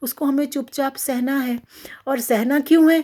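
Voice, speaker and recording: At a moderate pace, a woman talks in a high pitch with a dark, mellow tone. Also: very clean recording, silent background. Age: 60s. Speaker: retired professor, poet and writer. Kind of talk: talk to camera on a social issue.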